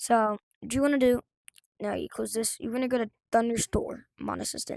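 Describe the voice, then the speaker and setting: Fairly quick speech with a dry, close sound and no echo. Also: woman. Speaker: gaming tutorial youtuber. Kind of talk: tutorial. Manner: fast; casual, halting with fillers.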